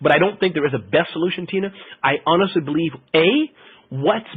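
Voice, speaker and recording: This man talks at a fairly quick pace. His pitch is high. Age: 40s. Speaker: marketing expert presenter. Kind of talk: webinar Q&A. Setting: webinar.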